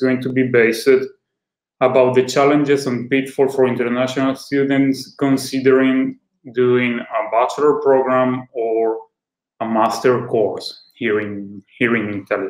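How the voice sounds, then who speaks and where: The pace here is fairly slow. Intonation stays fairly even. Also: man, medium pitch for a man. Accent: Spanish. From Venezuela. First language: Spanish. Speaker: school representative. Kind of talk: online seminar presentation. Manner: halting.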